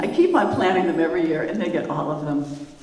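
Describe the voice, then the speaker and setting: Noticeable background noise and audible room echo accompany a female speaker. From US Midwest, St. Louis, Missouri. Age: 60s. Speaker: storyteller, land trust director. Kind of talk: personal storytelling at an event. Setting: stage with audience.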